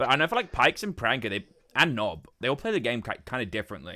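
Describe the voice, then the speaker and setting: A man with a British accent, very fast and animated, with a bright, sharp tone and very wide pitch swings. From Britain. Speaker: streamer. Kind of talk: casual chat.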